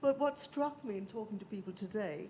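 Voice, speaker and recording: Her intonation is lively and her pitch fairly high. Noticeable background noise runs behind the woman speaking. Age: old. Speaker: audience member at panel event. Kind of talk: audience question at panel discussion.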